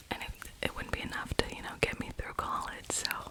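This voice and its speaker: Whispering over noticeable background noise. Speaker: ASMR creator, university student. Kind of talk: ASMR whisper ramble. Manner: whispered; casual, chatty.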